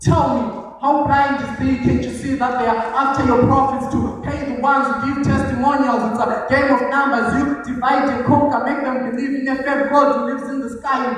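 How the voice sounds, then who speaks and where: Amid strong room echo and light background noise, a man with an extremely high pitch talks at a fairly quick pace in monotone, flat intonation. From Zimbabwe. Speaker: spoken word poet. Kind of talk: spoken word poetry performance. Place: hall. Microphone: camera far.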